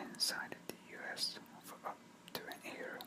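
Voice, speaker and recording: Whispering over noticeable background noise. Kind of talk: whispered news article reading. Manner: whispered.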